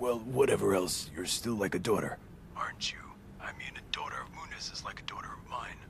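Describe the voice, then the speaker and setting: Whispering in a put-on character voice, a man talks at a fairly quick pace with big swings in loudness. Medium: fan dub. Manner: hesitant, halting.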